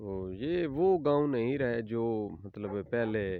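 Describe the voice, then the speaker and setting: A man speaks with a Punjabi accent. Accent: Punjabi-accented Urdu. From Punjab, Pakistan. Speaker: village farmer vlogger. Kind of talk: casual talk to camera. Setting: outdoors.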